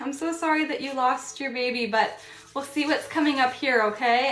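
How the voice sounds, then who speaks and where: Room echo can be heard. The voice rises and falls with lively intonation. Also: woman. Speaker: tarot reader. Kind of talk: live-stream tarot reading. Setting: live stream. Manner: fast.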